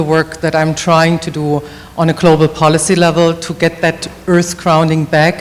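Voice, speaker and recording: A woman's fairly low voice with a German accent, against noticeable background noise. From Germany. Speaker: policy advocate. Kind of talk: self-introduction at a summit.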